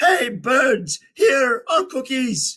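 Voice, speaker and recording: Shouting loudly, a man uses a put-on character voice at an extremely high pitch. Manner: loud shout.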